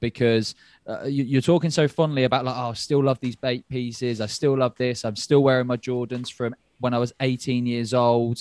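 In a British accent, a man of medium pitch speaks at a moderate pace, the sound dry and close with no echo. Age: 20s. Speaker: podcast host. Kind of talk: casual chat. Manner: animated.

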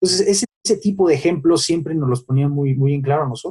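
This man's voice is fairly high in pitch with a dark, mellow tone. It is somewhat breathy, with ordinary pitch variation. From Mexico City. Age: 30s. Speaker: lawyer, son of a late sports legend. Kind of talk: interview.

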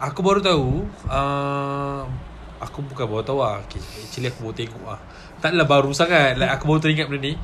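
In an animated tone, a man with fairly high pitch talks at a very fast pace with ordinary pitch variation and big swings in loudness. Room echo is audible. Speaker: podcast guest. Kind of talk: casual chat. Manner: animated, laughing often.

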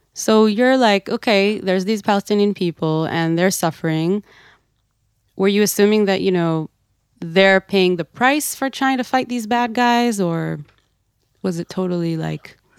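Speaking with an Israeli accent, a woman talks at a moderate pace and medium pitch, with ordinary pitch variation. The sound is dry and close with no echo, in a very clean recording with a silent background. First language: Hebrew. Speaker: podcast host and activist. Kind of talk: interview conversation.

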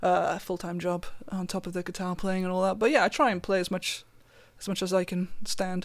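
With a south Wales accent, a woman speaks fairly quickly at medium pitch with fairly even intonation on a very clean recording with a silent background. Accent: south Wales Welsh. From south Wales valleys. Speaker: guitarist. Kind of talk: casual interview chat.

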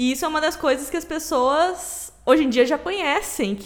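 A woman is speaking. She has a southern Brazilian accent. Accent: gaúcho Brazilian Portuguese. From Rio Grande do Sul, Brazil. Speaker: podcast co-host. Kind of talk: casual chat.

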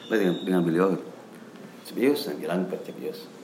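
Heard in a space with audible room echo, a man speaks amid noticeable background noise. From West Java, Cianjur. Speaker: lecturer and traditional singer. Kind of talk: interview.

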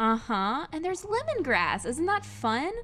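Speaking at a fairly slow pace, a woman uses lively intonation in an unremarkable speaking voice. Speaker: brewery sales rep. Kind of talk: casual chat. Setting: studio.

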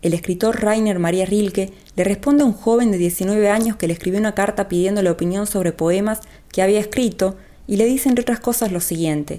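A woman speaks at a medium pitch with a dark, mellow tone. Her pace is fairly quick, with ordinary pitch variation. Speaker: podcast host and writer. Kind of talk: scripted narration. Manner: fast.

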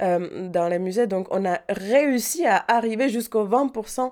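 A woman with a Czech accent speaks with ordinary pitch variation. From Czech Republic, Prague. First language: Czech (speaking French). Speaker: painter. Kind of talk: interview. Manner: hesitant.

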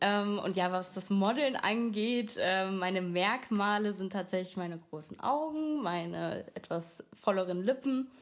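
A woman with an ordinary speaking voice at medium pitch, ordinary pitch variation, a fairly slow pace and hardly any pauses. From Germany, Wiesbaden (Hesse). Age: 20s. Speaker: model. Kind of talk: casual interview. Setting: studio, shared microphone.

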